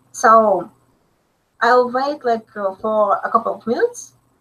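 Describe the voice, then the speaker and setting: A woman with a Russian accent, a fairly high pitch, a bright, sharp tone, ordinary pitch variation and a very slow pace. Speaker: still life photographer. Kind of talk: webinar Q&A. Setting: live online webinar. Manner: halting, many fillers.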